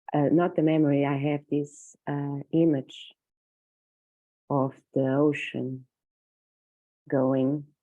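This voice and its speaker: A woman speaks very slowly in a Portuguese accent, her very deep, low voice flat and monotone. Her tone is dark and mellow, over a quiet background. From Portugal. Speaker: circle participant. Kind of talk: sharing circle. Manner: halting.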